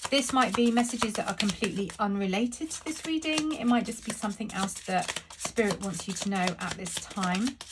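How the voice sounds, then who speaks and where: Fairly quick speech from a woman with a British accent, amid noticeable background noise. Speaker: tarot reader. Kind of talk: tarot reading.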